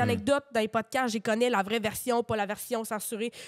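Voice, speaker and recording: A woman talks at a very fast pace. The recording is very clean, with a silent background and a dry, close sound free of echo. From Quebec, Drummondville. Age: 20s. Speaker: comedian. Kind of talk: casual chat.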